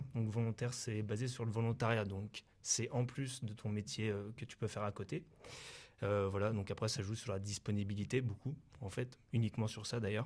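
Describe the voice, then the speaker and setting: A man sounds somewhat breathy in a very clean recording with a silent background. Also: fairly low pitch for a man, fairly even intonation, moderate pace. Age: 20s. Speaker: volunteer firefighter. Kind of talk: interview. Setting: mobile TV studio in town hall. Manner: halting, many fillers.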